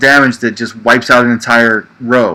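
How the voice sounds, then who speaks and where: A man talks in an American accent at a medium pitch. His intonation is monotone and flat, and his pace is moderate. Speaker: livestream show host, card game player. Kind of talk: casual livestream chat about a card game. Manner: conversational, frequent fillers.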